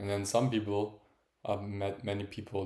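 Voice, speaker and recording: A man speaks at a fairly low pitch. His intonation is flat and monotone. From Italy (Florence), born in Germany. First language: Italian or German. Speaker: streamer, former soccer goalkeeper. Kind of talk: casual livestream monologue. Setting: livestream, talking to camera. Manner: halting, searching for words.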